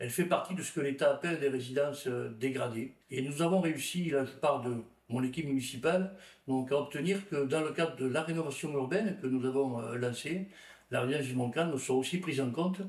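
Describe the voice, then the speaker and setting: Speech moves at a fairly quick clip. Its pitch rises and falls in an ordinary way. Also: man, fairly high pitch for a man. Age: 60s. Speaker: local elected official, former teacher. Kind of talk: interview testimony. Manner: hesitant, with filler sounds.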